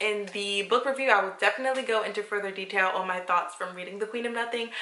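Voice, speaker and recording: A woman speaks with ordinary pitch variation, and audible room echo is present. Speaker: book vlogger. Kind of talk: vlog book chat. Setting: at work. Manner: animated.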